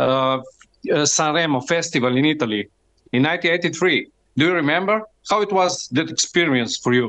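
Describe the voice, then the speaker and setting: Speaking with a Slovenian accent, a man uses a bright, sharp tone at fairly high pitch, moderate pace, very even loudness and lively intonation. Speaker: fan co-host. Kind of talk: interview. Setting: remote call. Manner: halting.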